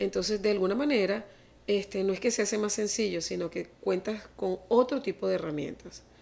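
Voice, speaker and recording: Medium in pitch with ordinary variation, a woman's voice carries vocal fry. She talks at a fairly quick pace. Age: 50s. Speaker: family constellation therapist. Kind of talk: interview.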